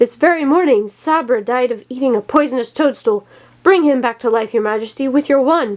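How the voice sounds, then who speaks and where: A woman's high-pitched, put-on character voice at a fairly quick pace. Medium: read story.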